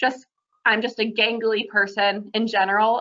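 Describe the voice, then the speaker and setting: At a moderate pace, a woman talks in a fairly high pitch with an unremarkable speaking voice. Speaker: accessibility housing presenter. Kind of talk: webinar presentation.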